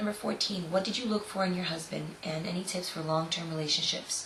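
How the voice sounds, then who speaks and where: Amid noticeable background noise and audible room echo, a woman with a medium pitch speaks at a fairly quick pace with an American accent. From South Florida. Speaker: model and vlogger. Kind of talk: casual Q&A vlog. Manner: loud; animated.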